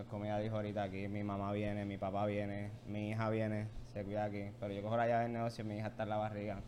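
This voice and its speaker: Talking at a very fast pace, a man with a fairly low pitch keeps a monotone, flat intonation, amid noticeable background noise and audible room echo. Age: 20s. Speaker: coffee shop co-owner. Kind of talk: casual interview.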